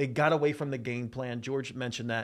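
On a very clean recording with a silent background, a man in an ordinary speaking voice talks fairly quickly at a medium pitch with ordinary pitch variation. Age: 40s. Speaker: sports betting analyst. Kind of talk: casual chat.

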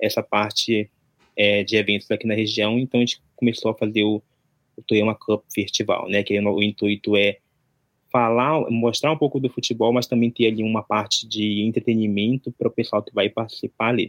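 Speaking at a moderate pace, a man uses a medium pitch and a monotone, flat intonation, recorded with a dry, close sound and no echo. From Brazil, Amazonas (interior near Manaus). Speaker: event organizer, content creator. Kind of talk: casual interview.

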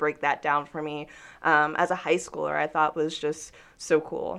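A woman with an American accent and monotone, flat intonation against a quiet background. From US South, Georgia (Newnan). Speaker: digital news producer. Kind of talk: interview conversation.

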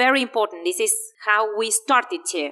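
Lively in intonation, a woman speaks at a fairly high pitch with a bright, sharp tone. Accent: Spanish. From Argentina. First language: Spanish. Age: 30s. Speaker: English teacher and language school director. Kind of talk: interview.

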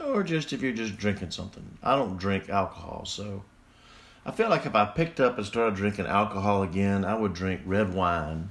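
Someone with a Southern US accent talks at a moderate pace with ordinary pitch variation. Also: man. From Mississippi. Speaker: podcast host. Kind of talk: casual solo podcast monologue.

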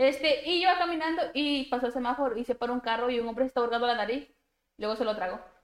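A woman is speaking. Her voice is high in pitch. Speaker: podcast co-host. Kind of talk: casual chat. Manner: blunt.

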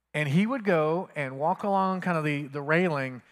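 This man has an unremarkable speaking voice, fairly high in pitch and lively in intonation. The recording is very clean, with a silent background. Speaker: pastor. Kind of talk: sermon. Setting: church. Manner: fervent, earnest prayer cadence, leading the congregation.

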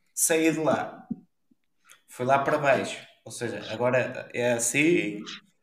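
This man talks at a fairly high pitch that varies in an ordinary way, with room echo audible around him. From northern Portugal, Ponte de Lima. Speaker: podcast co-host. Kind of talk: casual chat.

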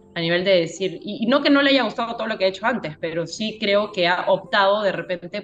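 Amid noticeable background noise, a woman with a medium pitch talks at a fairly quick pace with hardly any pauses. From Peru. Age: 30s. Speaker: circus teacher. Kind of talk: casual chat.

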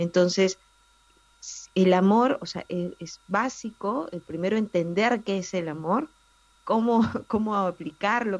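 A woman's normal speaking voice at a medium pitch with ordinary pitch variation. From Peru, Lima. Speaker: family columnist. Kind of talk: radio interview.

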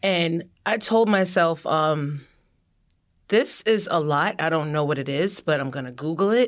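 A normal speaking voice with lively intonation comes at a fairly slow pace on a very clean recording with a silent background. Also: woman, fairly low pitch for a woman. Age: 30s. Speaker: children's book author. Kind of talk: casual chat. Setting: studio.

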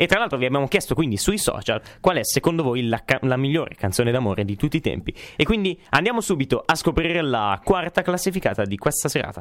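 A very fast-talking man with a fairly high pitch and very wide pitch swings. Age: young. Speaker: radio host and sound technician. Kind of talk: casual radio chat. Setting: radio studio. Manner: halting, many fillers.

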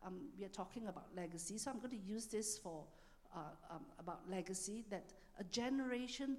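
A woman with an ordinary speaking voice, medium pitch, ordinary pitch variation, and a moderate pace. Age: 60s. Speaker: church minister. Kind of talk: sermon. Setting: church.

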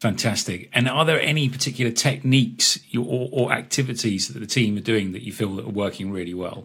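A plain, everyday voice: a man at medium pitch, fairly quick with hardly any pauses, ordinary pitch variation and big swings in loudness. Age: 40s. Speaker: podcast host. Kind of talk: interview.

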